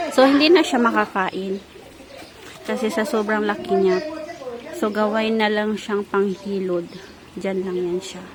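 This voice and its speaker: A soft-spoken woman at a fairly slow pace, with ordinary pitch variation, long and frequent pauses, and noticeable background noise. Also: medium pitch for a woman. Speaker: vlogger. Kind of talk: casual vlog talk. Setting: outdoors, backyard.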